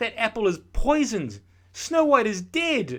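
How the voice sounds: A man puts on a character voice that is high in pitch. He speaks at a fairly slow pace with very wide pitch swings.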